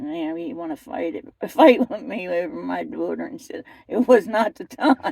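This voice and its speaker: A woman speaks with a Philadelphia accent. Her pace is moderate. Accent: Philadelphia-area American. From US Northeast, Camden, New Jersey. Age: 60s. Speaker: interviewee sharing life story. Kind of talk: casual interview testimony. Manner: animated.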